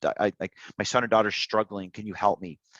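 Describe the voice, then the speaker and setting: Speaking fairly quickly with a Canadian accent, a man has a fairly low pitch. The sound is dry and close with no echo, against a quiet background. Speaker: Paralympic swimmer. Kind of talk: interview. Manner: repetitive, halting.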